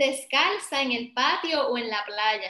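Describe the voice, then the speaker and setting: Against a quiet background with audible room echo, a woman with a Puerto Rican accent speaks very slowly in a raised, projected voice with a bright, sharp tone. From Puerto Rico, Ponce; Puerto Rico. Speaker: professor, early education; professor. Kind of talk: online workshop presentation. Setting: video call. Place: home room. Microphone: video call.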